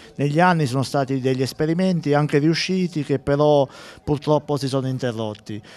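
A man talks at a fairly quick pace in a normal speaking voice. His pitch sits fairly high, with ordinary variation. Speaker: town mayor. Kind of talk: live TV interview. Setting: outdoors at sporting event.

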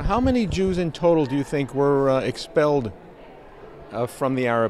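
A man speaks with lively intonation at a moderate speed while light noise sits in the background. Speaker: interviewer. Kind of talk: interview. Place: hall.

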